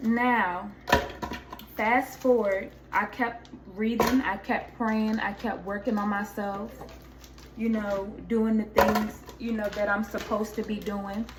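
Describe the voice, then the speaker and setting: In a room with audible echo and noticeable background noise, a woman speaks very slowly at a fairly high pitch with monotone, flat intonation. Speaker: YouTuber sharing faith testimony. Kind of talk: casual vlog testimony. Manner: loud.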